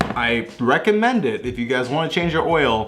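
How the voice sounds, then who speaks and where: Audible room echo follows a man as he talks. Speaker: car vlogger. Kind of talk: casual vlog.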